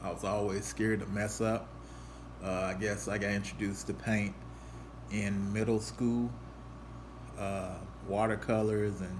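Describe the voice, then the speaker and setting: Somewhat breathy and at a fairly low pitch, a man speaks fairly slowly with ordinary pitch variation and long, frequent pauses amid audible room echo. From Louisville, Kentucky. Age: 40s. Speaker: artist. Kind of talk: casual presentation. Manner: halting, many fillers.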